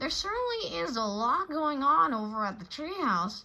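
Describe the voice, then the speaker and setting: The put-on character voice swings very widely in pitch. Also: woman, high pitch for a woman, moderate pace. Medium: read story.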